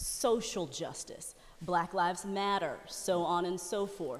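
Noticeable background noise surrounds a woman speaking at a fairly slow pace. Her voice is fairly low, with ordinary pitch variation. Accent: American. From Dallas, Texas. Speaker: news anchor. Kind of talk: casual chat.

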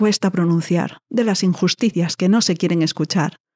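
A woman speaks at a moderate pace in a dark, mellow tone with ordinary pitch variation. The background is quiet. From northern Spain. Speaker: podcast host. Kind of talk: monologue intro to a podcast.

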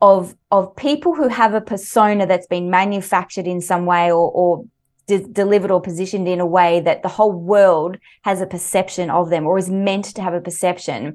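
Over a quiet background, a woman speaks at a medium pitch. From Australia. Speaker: leadership coach and author. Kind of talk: interview. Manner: animated.

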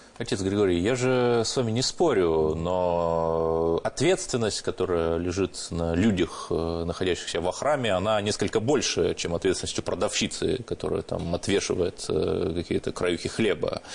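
A normal speaking voice at a moderate pace. The pitch varies in an ordinary way. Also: man, fairly low pitch for a man. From Russia, Cherepovets (Vologda region). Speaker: journalist. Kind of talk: radio discussion. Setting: studio.

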